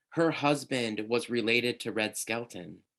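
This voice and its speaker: With a Minnesota accent, a man speaks at a medium pitch with ordinary pitch variation against a quiet background. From Minnesota, US Midwest. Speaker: podcast host. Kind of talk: casual interview chat.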